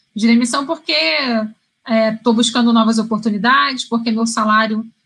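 The woman's tone is bright and sharp. She speaks at a moderate pace. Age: 30s. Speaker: career coach. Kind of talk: live stream talk. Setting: live stream.

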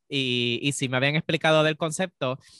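A man speaks with a Puerto Rican accent. He talks fairly quickly, with ordinary pitch variation. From Puerto Rico. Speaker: podcast co-host. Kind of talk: casual chat. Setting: remote recording.

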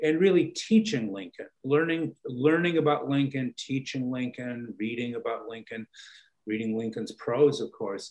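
At a moderate pace, a man speaks with lively intonation in an unremarkable speaking voice. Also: medium pitch for a man, big swings in loudness. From Chicago, US Midwest. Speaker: political science professor. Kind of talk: interview.

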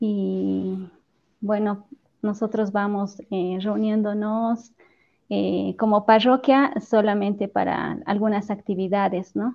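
A woman talks very slowly, her intonation fairly even. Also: medium pitch for a woman. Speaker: church choir leader and teacher. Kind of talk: casual chat.

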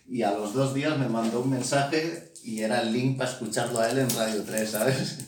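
Noticeable background noise and audible room echo accompany a man whose pitch varies in an ordinary way. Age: 30s. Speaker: podcast host. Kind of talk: casual chat. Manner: animated.

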